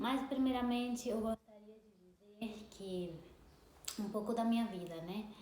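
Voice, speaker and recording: Through noticeable background noise and audible room echo, a fairly high-pitched woman talks with long, frequent pauses. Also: ordinary pitch variation, fairly slow pace. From Brazil until 12, then Spain. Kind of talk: testimony. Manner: halting, with repetitions.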